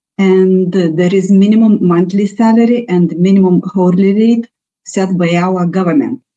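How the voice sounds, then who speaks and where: The speaker has a Lithuanian accent and a dark, mellow tone. Delivery comes at a moderate pace with ordinary pitch variation. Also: woman. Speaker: national labour market representative. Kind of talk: presentation. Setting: webinar. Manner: halting.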